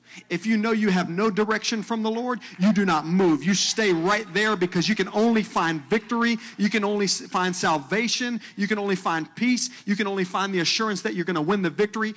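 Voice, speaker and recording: Man with a high pitch, fairly quick pace, hardly any pauses, ordinary pitch variation and very even loudness, amid noticeable background noise. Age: 30s. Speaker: pastor. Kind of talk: sermon. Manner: animated.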